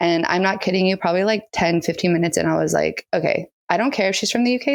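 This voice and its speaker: Talking at a very fast pace, a woman speaks with an American accent. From US, San Diego California. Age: 30s. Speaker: makeup artist. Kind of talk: podcast interview.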